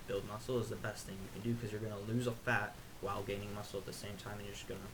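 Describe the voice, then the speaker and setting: A man's fairly low voice, monotone and flat, with audible room echo and noticeable background noise. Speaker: fitness youtuber. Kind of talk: casual explainer monologue. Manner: fast.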